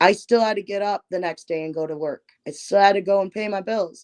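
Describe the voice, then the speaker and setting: In a dry, close recording with no echo, a woman uses a plain, everyday voice at a medium pitch, moving at a moderate pace with ordinary pitch variation. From Michigan. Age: 30s. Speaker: musical artist. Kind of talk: interview. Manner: casual.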